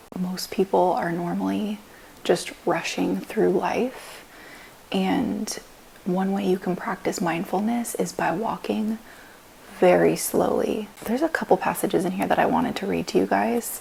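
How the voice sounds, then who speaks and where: A woman speaks quietly at a fairly slow pace. Noticeable background noise runs underneath. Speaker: vlogger and powerlifter. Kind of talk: casual vlog talk. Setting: at home on the couch.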